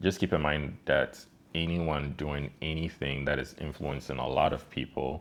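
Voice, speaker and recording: Delivered at a moderate pace, the voice has vocal fry and monotone, flat intonation. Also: man, very deep, low pitch for a man. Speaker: online course creator. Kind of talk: motivational talk to camera. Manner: casual, conversational with fillers.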